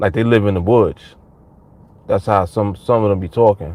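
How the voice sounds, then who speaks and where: This man has a fairly low pitch. His pitch varies in an ordinary way. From New York. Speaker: trading coach. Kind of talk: live stream chat with viewers. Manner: casual, animated.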